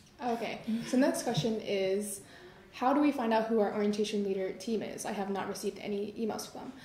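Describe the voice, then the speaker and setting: Very fast and fairly high-pitched, a woman talks with ordinary pitch variation amid light background noise and audible room echo. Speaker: university student orientation leader; panelist. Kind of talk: live Q&A panel. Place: classroom. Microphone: camera far.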